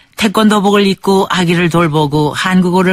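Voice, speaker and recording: A woman does the talking. Her pitch shifts in an ordinary way. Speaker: radio documentary narrator. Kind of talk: radio documentary narration.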